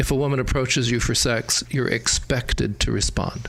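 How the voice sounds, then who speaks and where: A man speaks at a moderate pace. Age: 60s. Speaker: opera company general director hosting interview. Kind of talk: casual interview chat. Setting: sit-down talk.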